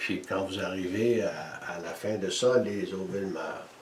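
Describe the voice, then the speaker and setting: Amid noticeable background noise and audible room echo, a man speaks very slowly. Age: 70s. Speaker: energy healer and inventor. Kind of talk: interview.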